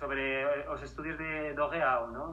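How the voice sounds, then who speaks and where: Audible room echo with noticeable background noise. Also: man. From Spain, Madrid. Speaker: filmmaker and academic. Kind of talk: interview. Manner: halting.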